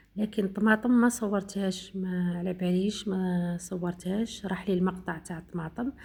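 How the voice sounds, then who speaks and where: Somewhat breathy and fairly even in intonation, a woman with an eastern Algerian accent speaks at a fairly slow pace. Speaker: home cooking vlogger. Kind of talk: cooking tutorial narration. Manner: halting, many fillers.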